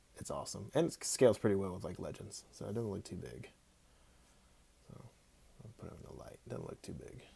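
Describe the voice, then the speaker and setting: Mumbling at a fairly quick pace with long, frequent pauses, a man speaks in a fairly low pitch with a dark, mellow tone and vocal fry, his pitch swinging very widely and his loudness shifting a great deal. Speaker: action figure customizer. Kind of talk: casual livestream chat while working. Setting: Instagram live stream.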